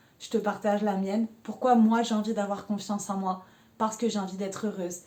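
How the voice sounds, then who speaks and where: At a fairly quick pace, a woman talks with a dark, mellow tone. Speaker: life coaching vlogger. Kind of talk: casual personal talk to camera. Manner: energetic, rises into high pitch.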